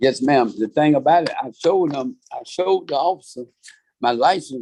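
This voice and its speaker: A man with a Georgia accent talks at a fairly quick pace in a fairly high pitch, his tone dark and mellow and his pitch varying in an ordinary way. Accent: Southern US, Georgia. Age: 60s. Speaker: defendant. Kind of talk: court hearing.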